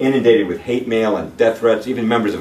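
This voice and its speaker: There is audible room echo and light background noise. Over it, a man talks at a fairly quick pace. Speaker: presenter. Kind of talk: lecture. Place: meeting room. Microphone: camera far.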